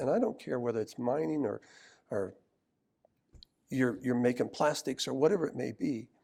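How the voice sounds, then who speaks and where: Long, frequent pauses break up a man's moderate pace, his medium-pitched voice having a dark, mellow tone. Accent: American. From US Midwest, Cleveland, Ohio. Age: 70s. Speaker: mining industry executive. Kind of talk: oral history interview. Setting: conference convention center.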